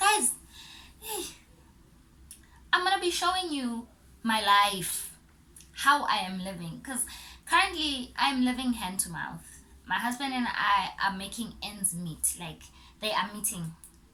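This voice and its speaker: Against noticeable background noise and audible room echo, a woman with a fairly high pitch talks at a fairly slow pace with long, frequent pauses, very wide pitch swings and big swings in loudness. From South Africa, Port Elizabeth. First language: Zulu. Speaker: YouTuber. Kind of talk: casual vlog. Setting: home recording.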